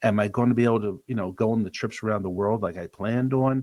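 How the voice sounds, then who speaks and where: The recording is very clean, with a silent background and a dry, close sound with no echo. A man with a normal speaking voice and an American accent talks at a fairly quick pace and medium pitch, with ordinary pitch variation. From US Northeast, Delaware County, Pennsylvania. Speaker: financial advisor. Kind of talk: podcast interview.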